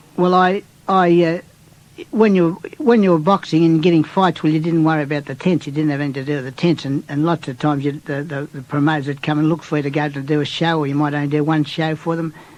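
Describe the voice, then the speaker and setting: Speaking at a very fast pace with an Australian accent, a man uses a fairly high pitch and fairly even intonation. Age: 70s. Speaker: retired boxer. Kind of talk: interview reminiscence. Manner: halting, with many restarts.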